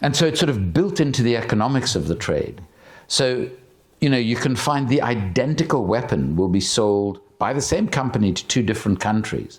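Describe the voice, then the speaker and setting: With vocal fry and very wide pitch swings around a medium pitch, a man keeps his loudness very even. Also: fairly quick pace. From South Africa. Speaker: activist and author. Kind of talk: public conversation.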